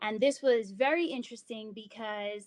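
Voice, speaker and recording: A woman with a plain, everyday voice and an American accent speaks at a moderate pace, her fairly high pitch showing ordinary variation. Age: 30s. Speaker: yoga instructor and wellness presenter. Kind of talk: online presentation. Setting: live online presentation with chat.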